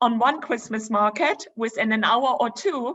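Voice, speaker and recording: In a German accent, a woman talks at a high pitch. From Germany, Dresden. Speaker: travel presenter. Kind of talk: virtual presentation with slides.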